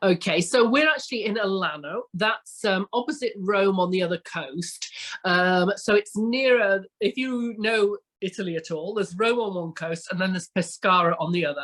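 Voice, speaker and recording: A dry, close sound with no echo and an English accent. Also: woman, medium pitch for a woman, ordinary pitch variation, moderate pace. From England. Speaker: retreat village founder. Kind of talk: podcast interview. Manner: enthusiastic.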